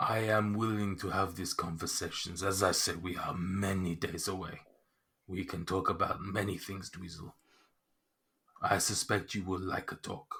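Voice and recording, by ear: In a put-on character voice, a man with a very deep, low pitch speaks at a moderate pace.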